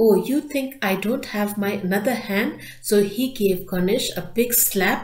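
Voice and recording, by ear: The speaker is reading aloud in a natural voice, with pitch that varies an ordinary amount.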